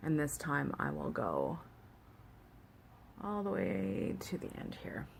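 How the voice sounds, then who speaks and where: A woman with a Canadian accent speaks at a very slow pace, her pitch very deep and low yet swinging very widely. Long, frequent pauses break her speech, and room echo is audible. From Canada. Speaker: beauty vlogger. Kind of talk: tutorial. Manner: casual, hesitant with fillers.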